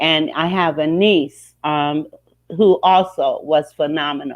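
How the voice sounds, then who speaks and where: Her pitch is very deep and low for a woman. She keeps her intonation fairly even. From Ohio. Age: 60s. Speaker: life coach and mediator. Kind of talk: interview testimony. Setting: studio.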